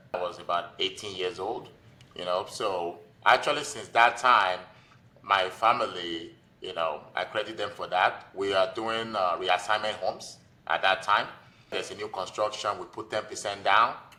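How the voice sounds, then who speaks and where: Speaking at a moderate pace with a Nigerian accent, a man uses a fairly low pitch with ordinary pitch variation. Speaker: physician and real estate investor. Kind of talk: podcast interview. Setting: podcast.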